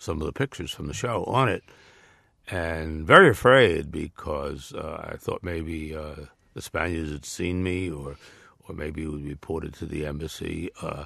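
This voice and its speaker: A man with a New York accent speaks at a fairly slow pace. His very deep, low voice sits against a quiet background. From New York area. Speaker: former diplomat and author. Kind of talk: interview. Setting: studio. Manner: hesitant, many fillers.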